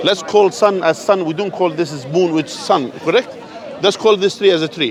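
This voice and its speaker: With crowd noise in the background, a man with a non-native accent and high pitch speaks in an animated tone. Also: ordinary pitch variation, moderate pace. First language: not English. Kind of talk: street debate. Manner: animated, interrupting.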